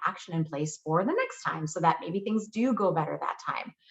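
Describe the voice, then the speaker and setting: A woman talks at a medium pitch, somewhat breathy. Her intonation is lively. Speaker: certified clinical hypnotherapist and mindset specialist. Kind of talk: casual talk to camera.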